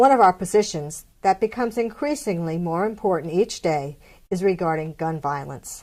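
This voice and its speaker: The recording is very clean, with a silent background, as a woman speaks at a moderate pace and medium pitch. Hers is an unremarkable speaking voice, with lively intonation. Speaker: president of a local League of Women Voters chapter, show host. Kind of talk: television host introduction and interview questions.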